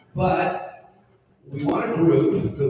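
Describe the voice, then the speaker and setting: Audible room echo and noticeable background noise surround a man who speaks at a fairly slow pace. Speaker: lecturer. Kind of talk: lecture. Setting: hall with audience, PA system. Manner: loud.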